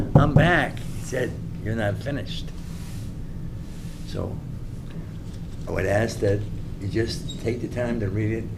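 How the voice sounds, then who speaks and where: A man with a medium-pitched voice speaks at a fairly slow pace, with audible room echo and noticeable background noise. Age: 70s. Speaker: CDL driving instructor. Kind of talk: public comment at school board meeting. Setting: school board workshop meeting.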